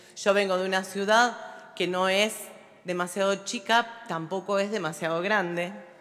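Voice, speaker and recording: Speaking at a fairly slow pace, a woman keeps her intonation fairly even. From Olavarría, Buenos Aires Province, Argentina; Buenos Aires Province, Argentina. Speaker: local politician; city councillor. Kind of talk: formal speech. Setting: legislative chamber. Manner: halting, with many fillers. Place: hall. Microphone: podium.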